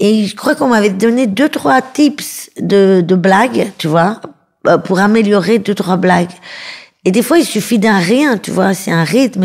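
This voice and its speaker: At a fairly slow pace, a woman speaks in a plain, everyday voice at medium pitch with ordinary pitch variation. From Paris suburbs, France. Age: 30s. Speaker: comedian. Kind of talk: interview.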